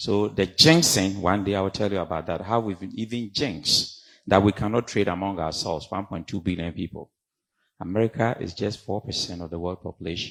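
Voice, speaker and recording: In a Ghanaian accent, a man talks at a fairly quick pace with a very deep, low pitch and ordinary pitch variation. The recording is very clean, the background silent. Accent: Ghanaian accent, kept. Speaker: professor, community leader. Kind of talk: conference panel talk. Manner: animated.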